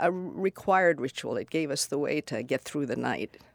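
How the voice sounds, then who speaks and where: A woman with an American accent and vocal fry, at a moderate pace, in a dry, close recording with no echo and a very clean, silent background. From US Northeast, Long Island, New York. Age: 70s. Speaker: college alumna. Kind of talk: oral history conversation.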